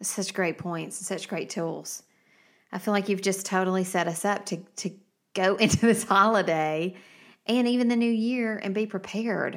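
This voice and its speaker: In a normal speaking voice with an American accent, the speaker talks at a moderate pace with fairly even intonation over a very clean recording and silent background. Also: woman, medium pitch for a woman. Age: 40s. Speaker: podcast host. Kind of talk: casual chat.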